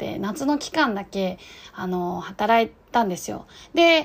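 Her intonation lively, a woman speaks in a fairly high voice. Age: 30s. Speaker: podcast host, guesthouse owner. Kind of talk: solo casual monologue. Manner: hesitant, many fillers.

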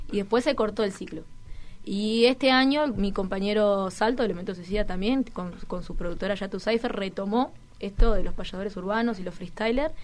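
A woman speaks at medium pitch with ordinary pitch variation. Hers is an ordinary speaking voice. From Uruguay, Toledo (Canelones). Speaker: rapper. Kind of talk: interview chat.

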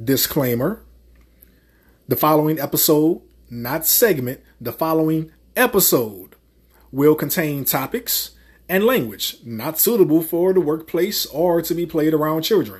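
A man with a New Orleans accent speaks in an animated tone with lively intonation at a fairly slow pace, pausing long and often, in a very clean recording with a silent background. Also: fairly high pitch for a man. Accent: New Orleans Southern US. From US South. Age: 30s. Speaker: podcast host. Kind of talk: casual commentary rant. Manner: crude and profane.

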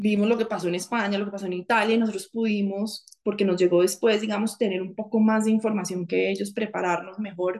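A woman's medium-pitched voice, very fast and flat, with hardly any pauses. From Colombia, Bogotá. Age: 40s. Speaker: former government chief of staff, lawyer. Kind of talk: interview conversation.

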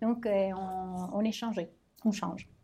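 The recording is very clean, its background silent. In it, a woman takes her words very slowly. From Italy. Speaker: language teacher. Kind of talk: interview.

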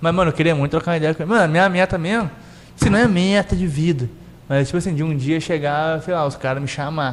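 Very fast speech with ordinary pitch variation comes through noticeable background noise. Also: man, fairly high pitch for a man. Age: young. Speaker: podcast host. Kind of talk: casual chat.

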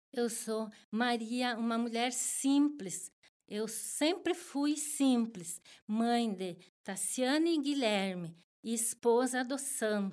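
A woman with a fairly high pitch speaks at a very slow pace with lively intonation. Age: 50s. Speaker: homemaker. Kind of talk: interview. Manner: halting, many repetitions and fillers.

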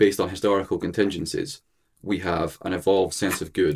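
A man's very deep, low voice with a Scottish accent. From Scotland, Edinburgh. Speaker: philosophy student. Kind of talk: casual discussion. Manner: halting, many fillers.

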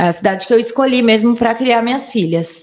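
A woman uses an ordinary speaking voice, moving at a moderate pace and showing ordinary pitch variation. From Minas Gerais and São Paulo state, Brazil. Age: 30s. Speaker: digital influencer. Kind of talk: casual chat.

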